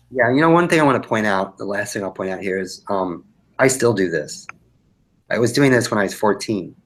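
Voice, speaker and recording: A man with a plain, everyday voice at a fairly low pitch, with lively intonation and a fairly quick pace. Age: 60s. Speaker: children's book illustrator. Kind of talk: live webinar critique. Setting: live online broadcast.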